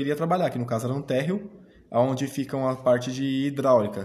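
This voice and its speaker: This is a man's voice. It sits at a medium pitch. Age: 20s. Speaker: interviewee, former young apprentice. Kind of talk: interview. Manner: hesitant, many fillers.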